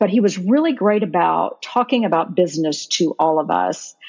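A woman with an ordinary speaking voice, fairly low pitch and an American accent. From Florida. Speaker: real estate investor and lawyer. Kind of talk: casual interview conversation.

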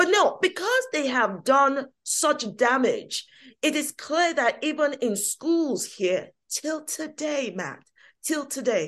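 A woman with a London accent, animated tone and very wide pitch swings against a quiet background. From England, East London (Hackney). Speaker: activist and political commentator. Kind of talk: interview.

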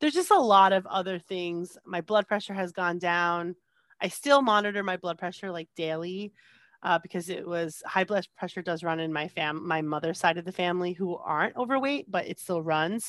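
An unremarkable speaking voice from a woman with an American accent, fairly low in pitch, at a moderate pace with ordinary pitch variation and a dry, close sound with no echo. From US Northeast, New Jersey. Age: 30s. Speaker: podcast guest sharing weight-loss story. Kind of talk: casual chat. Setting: video call.

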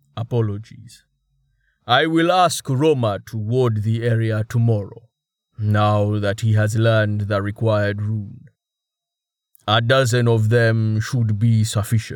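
A put-on character voice rumbles along. It moves at a fairly slow pace. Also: man, medium pitch for a man. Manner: calm, apologetic.

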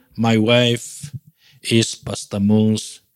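This man talks at a very slow pace with a fairly low pitch. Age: 50s. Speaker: pastor. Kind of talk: sermon. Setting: church.

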